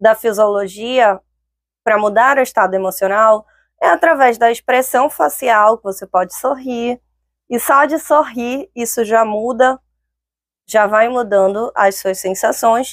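A woman's fairly high, calm-toned voice at a fairly slow pace, with ordinary pitch variation, in dry sound with no echo over a quiet background. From northern Brazil, Belém (Pará). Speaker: lawyer and career coach, speaker; lawyer, career coach. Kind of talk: online talk. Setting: online event. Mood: calm, encouraging. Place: studio. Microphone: lapel.

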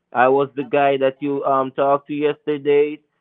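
Speaking at a fairly slow pace, a man delivers his words in a flat monotone. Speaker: phone scammer. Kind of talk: persuasive phone call. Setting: phone call.

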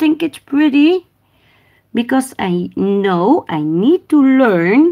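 With a Dutch accent, a woman speaks in a dark, mellow tone with very wide pitch swings against a quiet background. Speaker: nail technician livestreamer. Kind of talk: casual livestream tutorial. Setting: live stream. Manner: halting in English, switches languages. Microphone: phone near.

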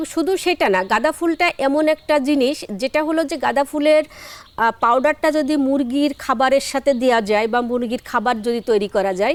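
A woman speaks at a high pitch with ordinary pitch variation and very even loudness. The sound is dry and close with no echo, though background noise is noticeable. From Bangladesh, Jessore district. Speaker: flower farmer and entrepreneur. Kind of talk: interview.

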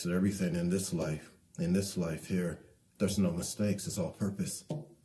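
This man's somewhat breathy voice sits at a fairly low pitch, moving at a fairly quick pace with ordinary pitch variation. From Detroit, US Midwest. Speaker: artist; interviewee. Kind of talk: interview. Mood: reflective, heartfelt. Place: home room. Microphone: lapel.

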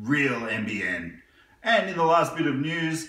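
With an Australian accent, a man speaks at a fairly slow pace in a high voice. Room echo is audible. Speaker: gaming news youtuber. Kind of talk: casual news roundup. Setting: living room. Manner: animated. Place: home room. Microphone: camera far.

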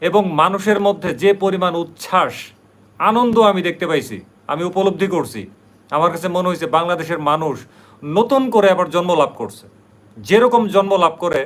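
High pitch for a man, with ordinary pitch variation in his voice. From Bangladesh, Brahmanbaria. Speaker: YouTube vlogger. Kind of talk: live stream monologue. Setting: livestream at night.

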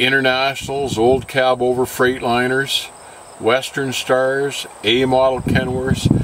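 A man at a fairly slow pace, dry with no echo, with noticeable background noise. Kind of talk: interview answer. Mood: calm, candid. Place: car.

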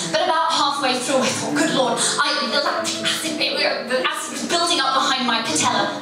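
In strong room echo and noticeable background noise, a woman speaks in a raised, projected voice with a high pitch, very even loudness, a fairly quick pace, and hardly any pauses. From England. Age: young. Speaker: storyteller. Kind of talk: live storytelling performance. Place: hall.

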